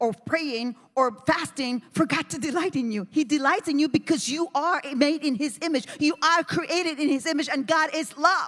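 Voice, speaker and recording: The tone is animated, with an American accent. Delivery is at a moderate pace over a quiet background. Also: woman. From New Jersey. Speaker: pastor. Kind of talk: sermon. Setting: church. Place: church. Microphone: handheld.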